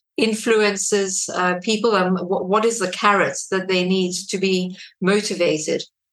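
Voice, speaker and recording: A woman at a medium pitch, monotone and flat, at a fairly slow pace, with audible room echo. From South Africa. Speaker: radio presenter. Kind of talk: interview.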